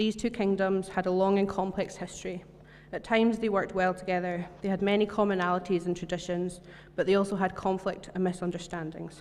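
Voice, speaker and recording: A woman with a Scottish accent speaks at a fairly quick pace in a medium pitch. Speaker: church member giving a talk. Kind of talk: sermon. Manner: fast.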